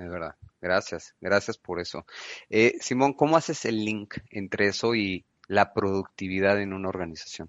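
A man with an unremarkable speaking voice and fairly low pitch shows ordinary pitch variation and big swings in loudness. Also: moderate pace. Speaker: podcast host, business consultant. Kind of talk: interview.

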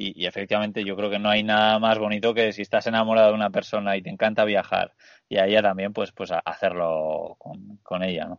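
A man's fairly low-pitched voice moves at a fairly quick pace. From Spain. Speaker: travel podcast host. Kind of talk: casual interview chat. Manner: halting, repeats words.

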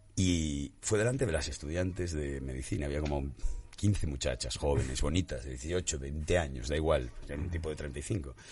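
This man's voice is very deep and low. Vocal fry runs through it. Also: ordinary pitch variation, moderate pace. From Spain, Galicia. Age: 40s. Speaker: musician and comedian. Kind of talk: casual chat.

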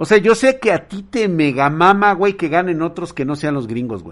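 A man's animated, lively delivery in a Mexican accent, at a moderate pace, over a quiet background. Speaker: livestreamer. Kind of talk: casual chat.

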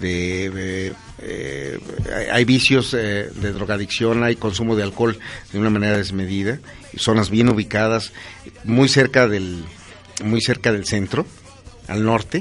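There is noticeable background noise as a man speaks at a fairly slow pace in a fairly low voice. His pitch varies in an ordinary way, and he leaves long, frequent pauses. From Pachuca, Hidalgo, Mexico. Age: 50s. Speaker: politician. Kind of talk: interview.

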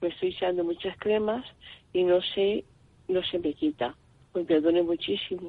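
Long, frequent pauses break up a woman's speech at a moderate pace. Her pitch is fairly low, with ordinary variation. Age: 60s. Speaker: caller. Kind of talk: phone-in question.

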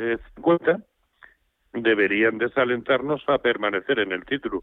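A man at a very slow pace, medium in pitch, with ordinary pitch variation. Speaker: stock market analyst. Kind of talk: radio market advice. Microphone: line cutting out.

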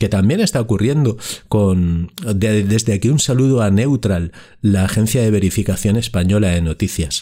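A man's dark, mellow tone at a fairly slow pace. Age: 50s. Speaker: podcast host. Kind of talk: solo podcast monologue.

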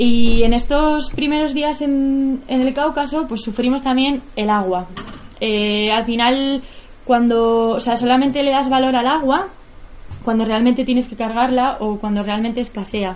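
A high-pitched woman's voice at a fairly slow pace, ordinary pitch variation, and noticeable background noise. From Basque Country, Spain (near Bilbao). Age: 20s. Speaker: bicycle traveller and filmmaker. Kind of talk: public talk. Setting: stage with audience. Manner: halting.

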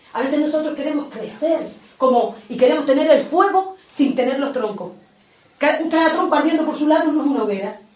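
A woman's high-pitched, lively voice at a fairly quick pace, with audible room echo and noticeable background noise. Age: 60s. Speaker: catechist. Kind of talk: catechesis talk.

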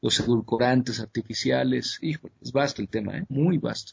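A man with a medium pitch and a somewhat breathy voice talks at a fairly quick pace. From Mexico. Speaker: conspiracy researcher. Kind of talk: interview. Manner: halting, with frequent repetitions.

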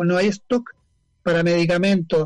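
Music plays in the background. A man speaks at a fairly quick pace with ordinary pitch variation. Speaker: activist and journalist. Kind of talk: casual interview chat. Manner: animated.

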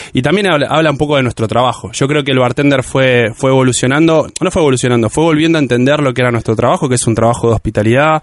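A man with a Rioplatense accent talks at a very fast pace, with hardly any pauses. His pitch is medium with ordinary variation, and his loudness stays very even. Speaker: bartender. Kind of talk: casual interview.

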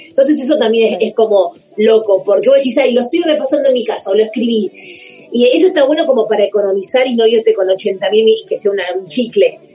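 Over noticeable background noise, a woman with a fairly high voice talks very fast with lively intonation. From Argentina, Buenos Aires southern suburbs (Banfield). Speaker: comedian. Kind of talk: casual chat.

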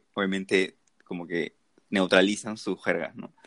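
The audio is dry and close-up, with no echo. A man talks at a medium speed. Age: 20s. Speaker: university student, podcast co-host. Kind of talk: casual chat.

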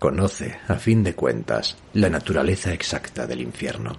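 This man has a very deep, low pitch and vocal fry. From northern Spain. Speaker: novelist and podcast host. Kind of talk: reading aloud from own novel.

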